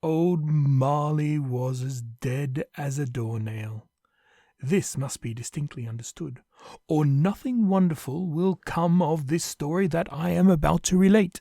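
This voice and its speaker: A man talks at a fairly slow pace with a fairly high pitch, lively intonation and a dark, mellow, somewhat breathy tone. The recording is very clean with a silent background, and the sound is dry and close with no echo. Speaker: narrator. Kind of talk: audio play narration.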